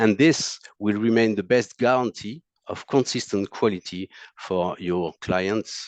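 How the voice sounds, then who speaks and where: Someone speaks with a French accent over a quiet background, the sound dry and close with no echo. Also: man. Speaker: monitor technical support specialist. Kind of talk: technical presentation. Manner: halting, many fillers.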